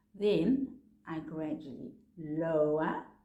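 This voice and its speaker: A woman's dark, mellow voice with very wide pitch swings and audible room echo. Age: 60s. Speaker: face exercise instructor. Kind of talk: tutorial. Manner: animated.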